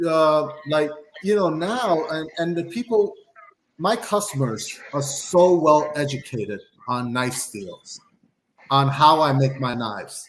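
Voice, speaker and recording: Lively intonation marks a man's speech at a very slow pace. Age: 40s. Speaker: knife designer. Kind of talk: casual chat. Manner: halting.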